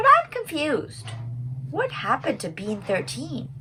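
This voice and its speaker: A put-on character voice over clear background noise. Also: moderate pace. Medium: read story. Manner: anxious, excitable.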